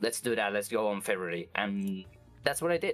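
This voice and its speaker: Music plays behind the voice. The talking goes at a fairly quick pace. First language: Spanish. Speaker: vtuber. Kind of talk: interview. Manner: halting, many fillers and restarts.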